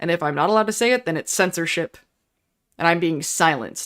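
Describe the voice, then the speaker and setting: A woman with an American accent talks loudly at a very fast pace. The recording is very clean, with a silent background. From Pittsburgh, US. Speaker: YouTuber. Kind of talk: casual livestream chat. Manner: halting, many fillers.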